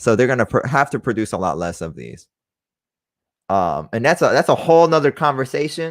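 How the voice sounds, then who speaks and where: Very wide pitch swings and big swings in loudness mark this man's medium-pitched voice with vocal fry and an American accent, delivered at a fairly quick pace on a very clean recording with a silent background. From Texas, Dallas. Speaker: sports card collector and podcast host. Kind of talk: casual live-stream chat. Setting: live stream. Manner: rambling, halting with fillers.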